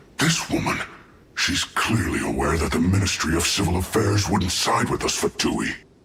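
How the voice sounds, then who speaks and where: In a growling, put-on character voice, the speaker goes at a moderate pace with lively intonation and very even loudness. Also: man, very deep, low pitch for a man. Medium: video game. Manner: defensive, aggrieved.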